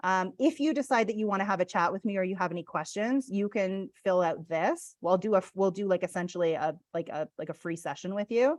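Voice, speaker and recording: A woman speaks at a medium pitch with lively intonation against a quiet background. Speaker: real estate business coach. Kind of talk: webinar presentation with Q&A. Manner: fast.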